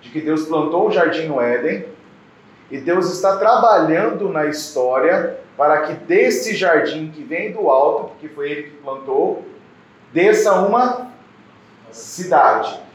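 A man speaks very slowly in a high voice for a man, with lively intonation and big swings in loudness, against noticeable background noise and audible room echo. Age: 40s. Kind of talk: sermon. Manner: halting, with fillers.

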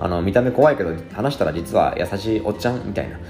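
A man's fairly low voice at a very fast pace, with very wide pitch swings and music in the background. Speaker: blogger and podcast host. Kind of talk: solo explainer talk. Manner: many filler words.

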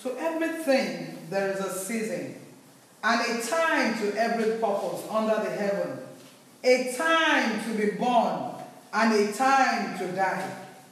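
At a very slow pace, a woman speaks with a fairly high pitch. Noticeable background noise is present. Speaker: scripture reader. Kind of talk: reading aloud.

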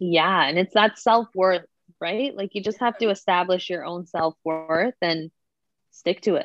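A woman's plain, everyday voice at medium pitch, with a Canadian accent and a fairly slow pace. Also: ordinary pitch variation. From Toronto, Canada. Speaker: dancer and small business owner. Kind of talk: casual interview chat.

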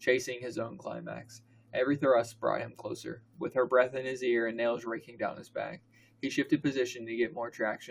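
A natural reading voice, its pitch shifting in an ordinary way

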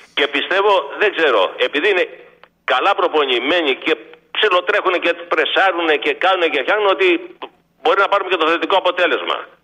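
A man speaks at a moderate pace in a high pitch, with ordinary pitch variation. His loudness stays very even, and he leaves long, frequent pauses. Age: 60s. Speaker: caller, former truck driver. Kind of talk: phone-in call.

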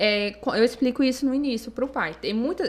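A woman talks at a moderate speed, her intonation lively. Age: 20s. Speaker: psychologist. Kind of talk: podcast interview.

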